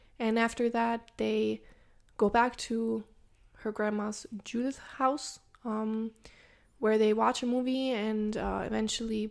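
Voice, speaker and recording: On a very clean recording with a silent background, a woman with a non-native accent and a fairly high pitch speaks at a fairly slow pace with fairly even intonation. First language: not English. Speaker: true crime podcast co-host. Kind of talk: case narration; casual podcast chat. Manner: hesitant, many filler sounds.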